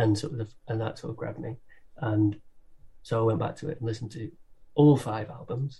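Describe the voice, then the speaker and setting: The voice has a dark, mellow tone and is somewhat breathy, moving at a fairly quick pace with ordinary pitch variation and long, frequent pauses. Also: man, medium pitch for a man. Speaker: musician and comedy performer. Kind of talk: casual chat, interview. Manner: laid back, chilled.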